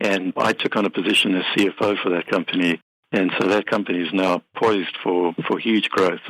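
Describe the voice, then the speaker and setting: The speaker has a South African accent and talks at a fairly quick pace with very even loudness. The intonation is monotone and flat, and the sound is dry and close, with no echo. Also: man, very deep, low pitch for a man. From South Africa, Cape Town. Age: 50s. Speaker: business software company head and accountant. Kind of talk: interview.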